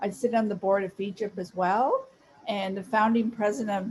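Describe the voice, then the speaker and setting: A medium-pitched woman's voice amid noticeable background noise. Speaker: social media influencer giving a talk. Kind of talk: presentation. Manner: deliberately slow.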